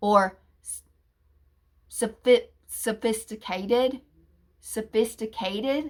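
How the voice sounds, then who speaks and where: Speaking with fairly even intonation, a woman with a fairly high pitch leaves long, frequent pauses. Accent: American. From US Appalachia, southern Ohio near Kentucky. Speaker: YouTuber. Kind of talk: personal vlog rant. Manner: halting.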